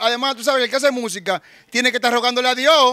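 A man with an extremely high pitch and a bright, sharp tone, voice raised and projected, very fast, with fairly even intonation. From Dominican Republic, Santo Domingo barrio. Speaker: rapper, former gang member. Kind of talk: street interview, casual. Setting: outdoors in neighborhood.

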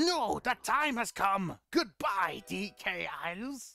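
A put-on character voice, fairly high-pitched and very slow, over music in the background. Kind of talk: comic overacting. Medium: virtual streamer. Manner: bossy, shouting, impatient.

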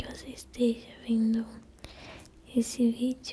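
A woman is whispering. Her pace is very slow. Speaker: ASMR creator. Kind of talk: soft whispered ASMR address to the viewer. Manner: soft close-mic ASMR murmur. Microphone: studio mic.

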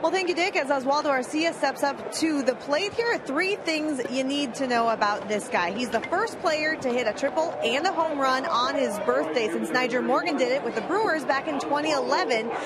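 At a moderate pace with hardly any pauses, the speaker uses lively intonation and very even loudness over noticeable background noise. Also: woman, high pitch for a woman. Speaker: in-game field reporter. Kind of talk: sideline reporting.

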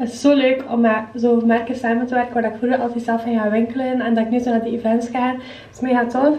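In a room with audible echo, a woman talks at a very fast pace with a high pitch and monotone, flat intonation. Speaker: vlogger. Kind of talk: casual vlog chat. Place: bathroom. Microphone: phone near.

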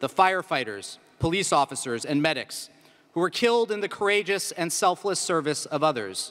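The man talks at a moderate pace. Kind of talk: formal memorial address. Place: hall. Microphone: podium.

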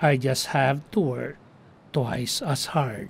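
With a Filipino accent, a man speaks in a fairly high, somewhat breathy voice at a fairly slow pace. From Philippines. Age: 70s. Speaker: retired navy steward. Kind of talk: documentary voice-over narration.

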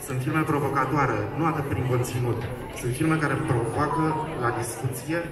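Loud background noise runs throughout. A man speaks at a moderate pace. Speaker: festival host on stage. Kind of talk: opening gala speech. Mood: earnest, rallying. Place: street.

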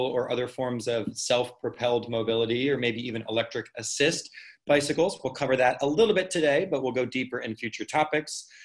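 A man talks fairly quickly. Behind him, all is quiet. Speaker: cycling instructor presenting a workshop. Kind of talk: lecture. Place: home room. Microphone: webcam.

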